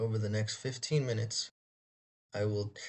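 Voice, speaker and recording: A man's fairly low, somewhat breathy voice keeps a moderate speed and fairly even intonation. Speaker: university student. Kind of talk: student presentation. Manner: read from script.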